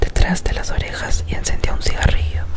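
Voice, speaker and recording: A woman whispers at a moderate pace while noticeable background noise continues around her. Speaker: ASMR creator. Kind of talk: short story reading. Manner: whispered.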